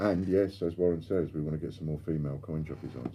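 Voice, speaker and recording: Talking very fast, a man with a London accent speaks in a very deep, low pitch. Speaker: coin dealer and live stream host. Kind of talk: live stream chat reading viewer comments. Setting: live stream.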